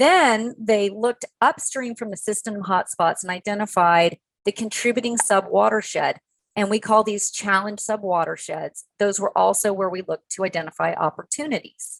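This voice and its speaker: Here is a normal speaking voice from a woman at medium pitch and a moderate pace. Her pitch varies in an ordinary way, and the sound is dry and close with no echo. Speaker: conservation panelist. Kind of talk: webinar presentation.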